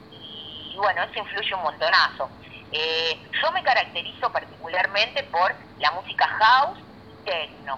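Pitch swings very widely in this woman's speech. She talks at a fairly slow pace. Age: 30s. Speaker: DJ. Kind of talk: interview.

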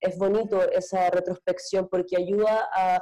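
A woman's dark, mellow tone. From Antofagasta, northern Chile. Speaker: actress and panelist. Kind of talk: panel discussion.

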